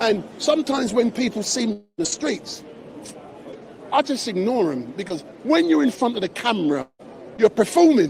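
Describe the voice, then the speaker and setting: A man at a high pitch for a man, animated in tone, at a moderate pace with very wide pitch swings and noticeable background noise. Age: 60s. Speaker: street live streamer. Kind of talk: live street stream interview. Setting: outdoors outside court.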